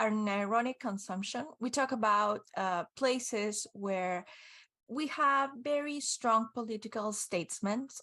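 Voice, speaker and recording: A woman's fairly high, bright, sharp voice with lively intonation at a fairly slow pace. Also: quiet background. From Argentina. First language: Spanish. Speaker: game concept artist and teacher. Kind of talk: conference talk. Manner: halting.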